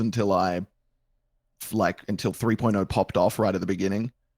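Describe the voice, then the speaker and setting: Dry and close with no echo, the very clean recording of a man with an American accent has a silent background. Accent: mild Australian, evened out toward American. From Australia. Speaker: roleplay streamer. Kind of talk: casual chat.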